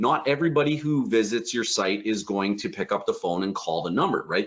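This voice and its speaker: Vocal fry colors this man's voice as he moves at a fairly quick pace with very wide pitch swings. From Canada. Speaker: online business coach. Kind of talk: live webinar tutorial. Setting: livestream. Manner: fast; animated.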